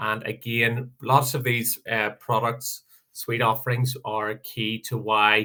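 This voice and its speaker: A man speaks very slowly at a medium pitch, his bright, sharp tone held in a flat monotone over a quiet background. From Northern Ireland. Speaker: software sales presenter; presenter. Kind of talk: product presentation webinar; webinar product presentation. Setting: video call webinar. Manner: hesitant, many fillers. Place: home room. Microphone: headset.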